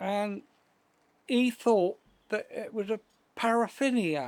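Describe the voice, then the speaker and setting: The speaker has a West Country accent. The pace is very slow. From South West England. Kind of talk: interview answer.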